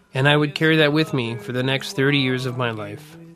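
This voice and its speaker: A man's pitch varies in an ordinary way. Noticeable background noise sits behind him. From Winnipeg, Manitoba, Canada. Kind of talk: personal digital story narration.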